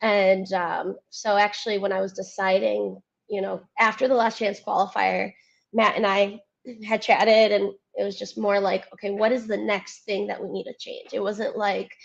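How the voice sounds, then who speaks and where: A woman with a slight Cleveland accent talks at a moderate pace. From US Midwest, Cleveland, Ohio. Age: 20s. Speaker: athlete. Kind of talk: interview.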